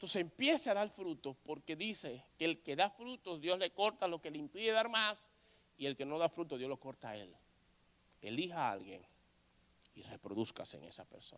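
A man speaks at a high pitch with a bright, sharp tone and very wide pitch swings. His pace is moderate, and his loudness rises and falls sharply. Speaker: pastor. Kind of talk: sermon.

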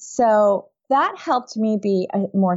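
A woman talks with a New York accent. Her intonation stays fairly even. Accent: American, New York. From upstate New York. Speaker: non-toxic living author and expert. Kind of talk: interview.

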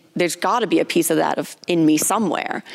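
A woman uses an ordinary speaking voice, fairly fast, and her pitch varies in an ordinary way. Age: 20s. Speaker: gym co-owner. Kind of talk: casual chat. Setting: gym.

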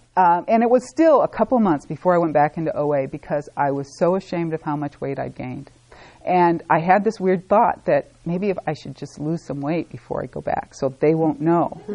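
With an American accent, a woman talks in a fairly low pitch and with lively intonation. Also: fairly quick pace. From Sacramento, California. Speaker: recovery group member sharing story. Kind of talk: testimony. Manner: casual, hesitant with fillers.

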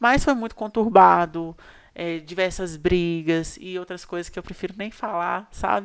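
A normal speaking voice at a fairly slow pace, with ordinary pitch variation and big swings in loudness, on a very clean recording with a silent background. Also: woman, fairly low pitch for a woman. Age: 20s. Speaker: social media influencer. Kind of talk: casual interview.

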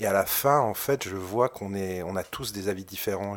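A man speaks at a fairly low pitch. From provincial France. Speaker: film director. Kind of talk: interview. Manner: halting.

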